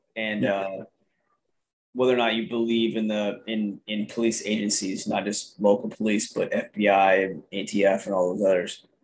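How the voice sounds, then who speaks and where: In an American accent, a man with a normal speaking voice talks at a moderate pace, his pitch fairly low and his intonation fairly even. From Idaho. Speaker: podcast host. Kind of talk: casual political chat.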